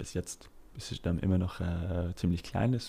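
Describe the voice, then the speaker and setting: The speaker is a man. He talks at a moderate pace. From Britain. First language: English (speaking German). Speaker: startup founder. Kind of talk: interview. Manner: halting, many fillers.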